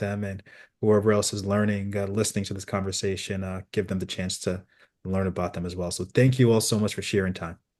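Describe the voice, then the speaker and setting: Against a quiet background, a man with a plain, everyday voice speaks fairly quickly at a fairly low pitch and with fairly even intonation. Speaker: interviewer of ministry workers. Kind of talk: casual interview.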